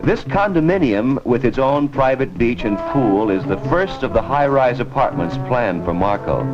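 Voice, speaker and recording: A man at medium pitch with lively intonation and hardly any pauses, with music in the background. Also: moderate pace, very even loudness. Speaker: TV host. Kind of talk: promotional film narration. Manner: casual, chatty.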